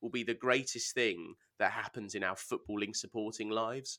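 The recording is very clean with a silent background and a dry, close sound with no echo, as a man with an English accent speaks at medium pitch and a moderate pace in a bright, sharp tone. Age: 30s. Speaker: football podcast co-host. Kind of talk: casual chat.

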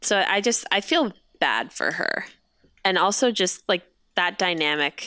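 A woman's playful, bright and sharp voice at medium pitch, with lively intonation, a fairly slow pace and long, frequent pauses, in a very clean recording with a silent background. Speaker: guest, Twitter comedy account owner. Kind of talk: casual chat. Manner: laughs often, playful.

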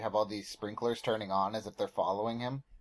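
A man speaks with an American accent in an animated tone. His pitch variation is ordinary. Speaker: podcast guest. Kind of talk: casual banter. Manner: joking, animated.

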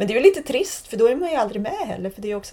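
A woman speaks with very wide swings in pitch. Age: 40s. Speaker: photographer. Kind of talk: interview conversation. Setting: in person, Malmö.

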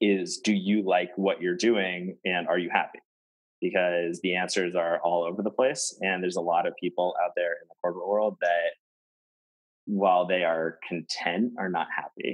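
The voice keeps a moderate pace and fairly even intonation. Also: man, very deep, low pitch for a man. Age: 20s. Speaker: salesperson. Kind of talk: casual interview conversation. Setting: remote recording from his office.

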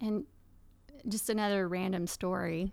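A woman's medium-pitched voice at a fairly slow pace with fairly even intonation, in a very clean recording over a silent background. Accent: East Texas. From Texas, Paris. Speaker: farmer and workshop teacher. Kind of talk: casual interview.

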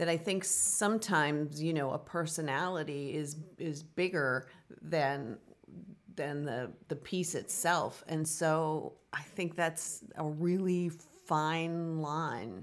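A woman's very deep, low voice at a very slow pace. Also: ordinary pitch variation. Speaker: musical theater professor and choreographer. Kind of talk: casual interview chat. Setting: in person, same room. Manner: soft-spoken; hesitant, many fillers.

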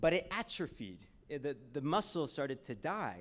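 A man with an American accent speaks with vocal fry and very wide pitch swings. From Texas, Houston. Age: 20s. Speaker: ministry speaker. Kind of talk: sermon.

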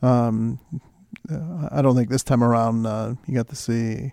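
There is noticeable background noise as a man speaks at a moderate pace. His voice sits at medium pitch with fairly even intonation. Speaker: sports reporter. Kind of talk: casual sports talk. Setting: studio.

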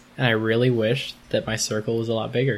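The delivery is fairly quick, with a monotone, flat intonation. Noticeable background noise sits under the speech. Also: man. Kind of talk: casual interview.

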